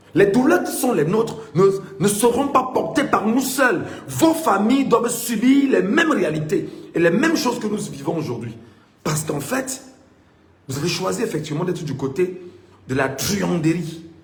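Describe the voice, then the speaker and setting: With noticeable background noise and audible room echo, a man speaks in a high pitch and an animated tone at a moderate pace, his pitch swinging very widely between long, frequent pauses. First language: Mbimba (Cameroonian language) (speaking French). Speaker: political commentator. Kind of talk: political monologue.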